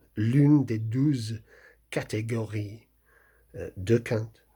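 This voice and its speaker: In a strong English accent, a man talks at a very slow pace with medium pitch, fairly even intonation and a somewhat breathy quality, on a very clean recording with a silent background. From England. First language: English (speaking French). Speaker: novelist. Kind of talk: talk about his book. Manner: halting, many hesitations.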